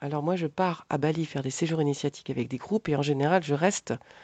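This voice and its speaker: Very deep, low pitch from a woman, dark and mellow in tone, with ordinary pitch variation at a moderate pace, recorded dry and close with no echo in a quiet background. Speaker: life coach. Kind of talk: tutorial. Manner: hesitant, many filler sounds.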